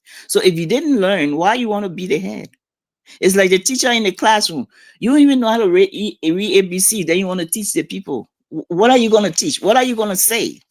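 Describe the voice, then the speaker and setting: A woman with a Liberian accent swings very widely in pitch, heard in a very clean recording with a silent background and a dry, close sound with no echo. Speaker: community figure interviewed on a talk show. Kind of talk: casual interview. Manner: blunt, animated.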